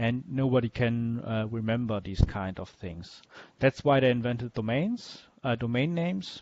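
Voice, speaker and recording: A man talks with a German accent. His voice sits at a medium pitch. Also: ordinary pitch variation, moderate pace. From Germany. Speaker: web developer teaching a workshop. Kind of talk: lecture. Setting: video call with screen share. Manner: halting, many fillers.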